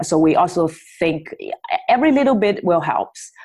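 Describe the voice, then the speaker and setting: A woman with a Chinese accent speaks with lively intonation. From China, Shanghai. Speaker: company founder. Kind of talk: interview. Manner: halting, many fillers.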